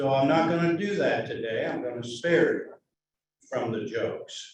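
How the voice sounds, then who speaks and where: The speech moves at a moderate pace. Room echo is audible throughout. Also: man. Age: 80s+. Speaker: club member, foundation treasurer. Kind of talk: casual club meeting remarks. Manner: halting, with many uh's.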